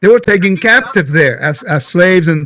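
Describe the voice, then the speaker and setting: With a Puerto Rican accent, a man speaks in a high, bright, sharp tone with ordinary pitch variation. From Puerto Rico. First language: Spanish. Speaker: Bible teacher. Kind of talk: casual teaching conversation.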